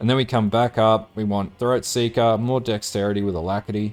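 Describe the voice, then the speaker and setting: An Australian accent at a moderate pace with music in the background. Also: man. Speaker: gaming guide presenter. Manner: casual, with frequent filler words.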